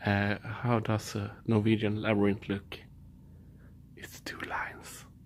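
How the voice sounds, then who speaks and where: Somewhat breathy, a man speaks at a very slow pace. He has a Swedish accent. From Sweden. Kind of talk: ASMR storytelling. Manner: soft-spoken.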